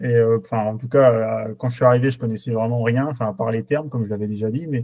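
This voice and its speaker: Speaking at a very fast pace, a man with a dark, mellow tone keeps his medium-pitched voice fairly even in intonation. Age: 20s. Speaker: truck driver, coaching client. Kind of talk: testimonial interview. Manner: halting, many hesitations.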